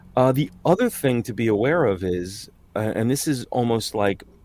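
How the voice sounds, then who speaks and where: A man speaks with a New York accent. His intonation is lively. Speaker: voice-over artist. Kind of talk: interview conversation. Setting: sound booth, remote video call. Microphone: professional recording booth.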